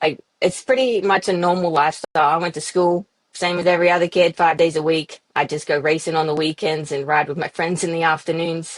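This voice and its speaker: Fairly quick and fairly low, a woman speaks with an Australian accent and fairly even intonation. The sound is dry and close, with no echo. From Australia, Yass near Sydney. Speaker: professional off-road motorcycle racer. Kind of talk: podcast interview.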